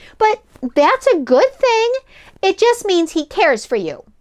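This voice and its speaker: A woman puts on a squeaky character voice pitched extremely high. She speaks at a moderate pace. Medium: read story.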